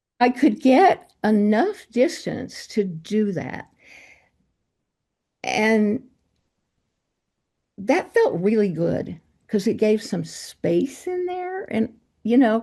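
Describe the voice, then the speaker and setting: A woman speaks at a very slow pace with very wide pitch swings and a fairly high pitch. Her tone is dark and mellow, and somewhat breathy. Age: 80s+. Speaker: meditation group member. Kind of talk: group discussion sharing. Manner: halting.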